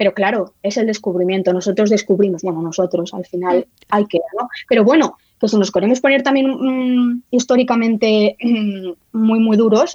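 A woman's voice with ordinary pitch variation comes through dry and close, with no echo. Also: fairly high pitch for a woman, moderate pace. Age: 30s. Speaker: historian and writer. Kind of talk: interview. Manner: halting, many repetitions.

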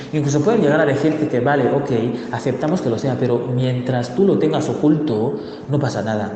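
A medium-pitched male voice with ordinary pitch variation at a moderate pace, amid noticeable background noise and audible room echo. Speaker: LGBTI activist. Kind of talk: interview. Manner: halting.

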